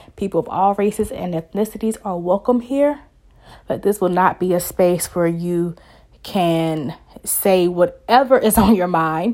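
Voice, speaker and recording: A woman speaks at a fairly slow pace in a dark, mellow tone at medium pitch with ordinary variation. The recording is very clean, with a silent background. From US South. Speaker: social work student and podcaster. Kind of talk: solo podcast monologue.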